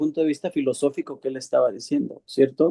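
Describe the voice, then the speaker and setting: A man with a fairly high pitch and a dark, mellow tone speaks with ordinary pitch variation, the sound dry and close with no echo. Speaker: course participant. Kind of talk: class discussion. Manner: halting.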